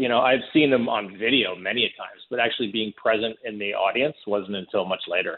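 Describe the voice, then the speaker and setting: A man speaks at a moderate pace in an American accent. He has a normal speaking voice with a fairly low pitch. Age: 40s. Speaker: documentary director. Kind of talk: interview.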